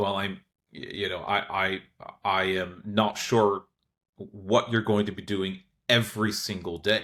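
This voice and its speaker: A man with an American accent speaks fairly slowly in a fairly low pitch, with a bright, sharp tone. His intonation stays monotone and flat, and long pauses come often. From United States. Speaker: lawyer. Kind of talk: podcast interview.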